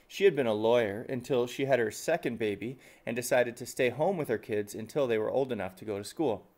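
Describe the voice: Simple, plain reading aloud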